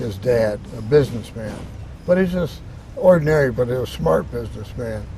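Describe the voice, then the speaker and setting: A man's pitch swings very widely as he talks at a middling speed, with clearly audible noise in the background. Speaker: veteran. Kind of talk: interview answer. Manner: storytelling, hesitant.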